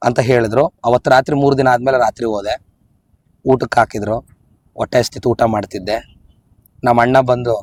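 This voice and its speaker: A man talks at a medium pitch with fairly even intonation. His is a plain, everyday voice. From Raichur district, north Karnataka. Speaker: theatre and film actor. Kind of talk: interview storytelling.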